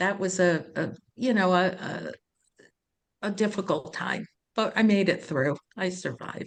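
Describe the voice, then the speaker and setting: Slowish in pace with long, frequent pauses, a woman speaks at medium pitch with ordinary pitch variation. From New York. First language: Italian. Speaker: sales executive. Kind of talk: interview.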